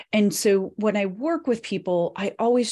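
The recording is very clean, with a silent background. A woman speaks in an ordinary speaking voice, medium in pitch, with ordinary pitch variation. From western US (Nevada, Colorado, California). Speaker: business speaker and author. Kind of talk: interview.

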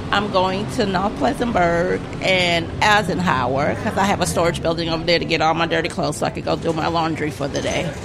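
Talking at a fairly quick clip with hardly any pauses, this voice comes through over noticeable background noise. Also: woman, fairly low pitch for a woman, ordinary pitch variation. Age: 50s. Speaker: bus rider. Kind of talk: testimony.

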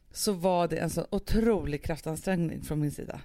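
In a very clean recording with a silent background, a woman speaks at a moderate pace in an animated tone. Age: 30s. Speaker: podcast host. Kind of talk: casual chat.

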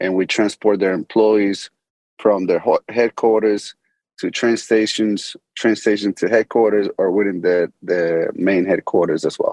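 An ordinary speaking voice with an American accent moves at a fairly slow pace with fairly even intonation, in a dry, close sound with no echo. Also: man, fairly low pitch for a man. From Medellin, Colombia; later Boston. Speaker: business founder and CEO. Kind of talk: interview, casual business talk.

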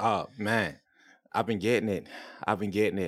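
A man speaks in a plain, everyday voice with an American accent. His pitch sits fairly low. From Florida. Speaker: podcast host. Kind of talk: casual chat.

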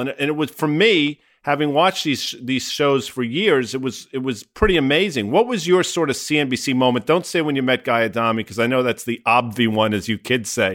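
At a fairly quick pace, a man talks in an ordinary speaking voice with a medium pitch. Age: 50s. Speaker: finance podcast host. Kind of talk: casual chat.

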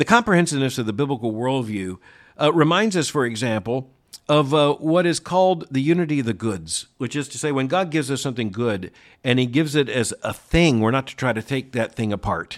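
In a very clean recording with a silent background, a man talks at a fairly quick pace in an unremarkable speaking voice with lively intonation. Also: medium pitch for a man. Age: 60s. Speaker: podcast host and commentator. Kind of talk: answering listener letters; news commentary.

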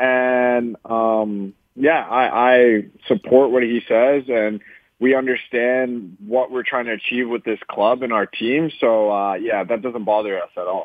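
In a Canadian accent, an unremarkable speaking voice moves at a fairly slow pace with fairly even intonation. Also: man, medium pitch for a man. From Canada. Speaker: professional soccer player. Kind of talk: interview. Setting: phone call.

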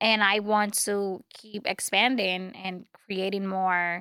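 A woman with a Spanish accent speaks at a medium pitch in a bright, sharp tone on a very clean recording with a silent background. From Dominican Republic. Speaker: media personality and self-help author. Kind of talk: casual interview.

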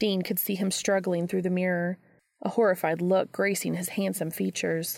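A natural reading voice with fairly even intonation comes through over a quiet background.

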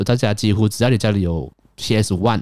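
A man's dark, mellow tone at a very fast pace, on a very clean recording with a silent background. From Malaysia. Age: 20s. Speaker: podcast host. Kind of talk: casual solo monologue.

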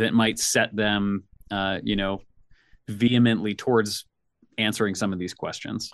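Against a quiet background, a man speaks with an American accent. His medium-pitched voice is monotone, with flat intonation. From US South, Nashville, Tennessee. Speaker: career consultant and designer. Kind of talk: interview conversation.

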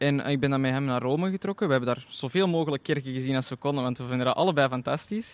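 With ordinary pitch variation, this man rattles through his words at a very fast pace. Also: fairly high pitch for a man, hardly any pauses. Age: 20s. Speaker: tourism student intern. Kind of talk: interview.

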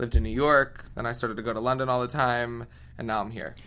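Audible room echo surrounds a man speaking at medium pitch with an American accent. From Philadelphia area, Pennsylvania, US. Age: 20s. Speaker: singer. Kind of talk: interview. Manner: animated.

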